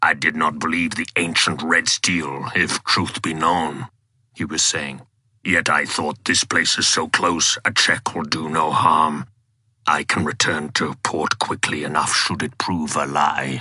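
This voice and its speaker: This man uses a put-on character voice that is raspy and very deep. He speaks at a fairly slow pace. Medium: read story. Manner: formal, archaic.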